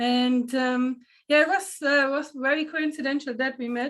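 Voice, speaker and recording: Her pitch high and her intonation fairly even, a woman with a German accent talks at a moderate pace. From Germany. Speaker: panel moderator. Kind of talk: panel introduction.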